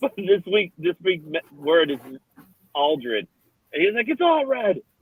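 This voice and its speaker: Speaking at a fairly slow pace with a New York accent, a man uses a high pitch and very wide pitch swings. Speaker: co-host of another podcast show. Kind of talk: casual chat.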